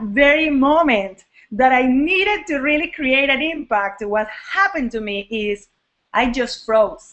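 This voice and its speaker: Her pitch is high and swings very widely as this woman speaks at a fairly slow pace. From Venezuela. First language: Spanish. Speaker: network marketing coach. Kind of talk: live online training talk. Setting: live video hangout. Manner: casual, animated. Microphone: poor sound quality.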